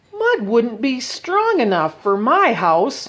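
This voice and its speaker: The woman's delivery is a put-on character voice pitched fairly high. Her pace is fairly slow. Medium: read story.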